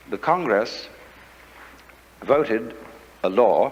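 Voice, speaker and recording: A man of medium pitch with an English accent, amid noticeable background noise. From England. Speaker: philosopher and lecturer. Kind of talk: philosophy lecture.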